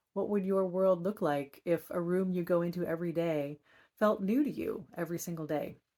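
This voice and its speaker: A woman with a normal speaking voice, medium pitch and ordinary pitch variation. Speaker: author and wisdom card reader. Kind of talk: guided meditation and card reading; inspirational talk. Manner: slow, calm and soothing.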